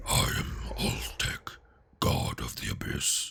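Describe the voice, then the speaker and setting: A man puts on a character voice that is gravelly and raspy, with a very deep, low pitch. He speaks at a fairly slow pace. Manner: foreboding, menacing.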